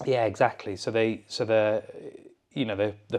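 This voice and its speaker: In a Cumbrian accent, a man talks at a fairly low pitch with monotone, flat intonation. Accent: northern English (Cumbrian). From Lake District, England. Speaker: mountaineer and expedition leader. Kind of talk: interview answer.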